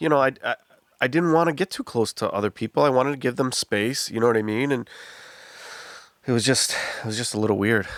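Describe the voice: A man with an American accent at medium pitch, fairly quick pace and fairly bright tone, broken by long, frequent pauses. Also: ordinary pitch variation.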